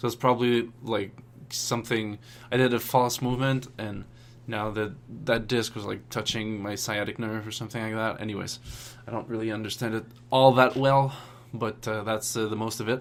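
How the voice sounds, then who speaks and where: At a moderate pace, a man with a non-native accent talks in a flat monotone at a medium pitch. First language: not English. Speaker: language learning vlogger. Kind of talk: casual vlog update. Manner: hesitant, many filler words.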